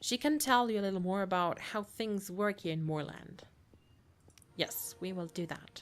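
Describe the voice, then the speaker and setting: In a German accent, a woman with a medium pitch speaks at a moderate pace with lively intonation. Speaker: gamer. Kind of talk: let's play commentary. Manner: halting; reads game dialogue aloud.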